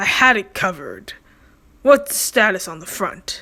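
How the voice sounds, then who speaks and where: A woman puts on a raspy character voice at medium pitch. She moves at a moderate pace. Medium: read story. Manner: stern, stoic.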